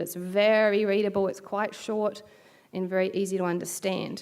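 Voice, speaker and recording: At a fairly quick pace, a woman speaks in a New Zealand accent at a medium pitch with fairly even intonation. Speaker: bioethics researcher. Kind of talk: keynote lecture.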